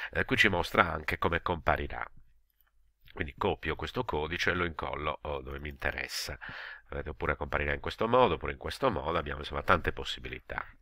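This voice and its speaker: A man's very deep, low pitch with a bright, sharp tone at a very fast pace, on a very clean recording with a silent background. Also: ordinary pitch variation. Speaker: educational technology video tutor. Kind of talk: screen-recorded tutorial. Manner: hesitant, many filler sounds.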